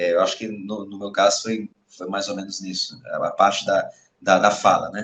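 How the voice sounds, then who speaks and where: Moderate-paced male speech with loudness that rises and drops sharply. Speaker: army officer. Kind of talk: interview. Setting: school podcast interview. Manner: halting, many fillers.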